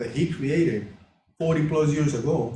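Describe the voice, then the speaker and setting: Audible room echo surrounds a dark, mellow, somewhat breathy voice. The speech moves at a moderate pace. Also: man. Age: 60s. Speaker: class leader sharing personal testimony. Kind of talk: testimony.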